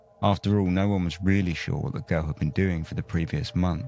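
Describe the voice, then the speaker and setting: A man speaks at a fairly quick pace in a very deep, low pitch. Music plays in the background. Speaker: podcast host. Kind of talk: true-crime narration. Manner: measured, storytelling tone; casual, chatty in asides.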